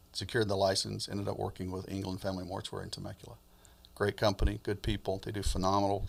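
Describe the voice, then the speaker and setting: A man with an American accent talks at a very fast pace in a very deep, low pitch, with vocal fry and fairly even intonation. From US Midwest and South (Alabama, Michigan, Georgia). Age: 60s. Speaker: funeral home owner. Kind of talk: interview.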